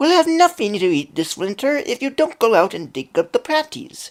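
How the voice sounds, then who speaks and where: In a put-on character voice, the speaker uses a high pitch with very wide pitch swings at a moderate pace, on a very clean recording with a silent background. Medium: read story.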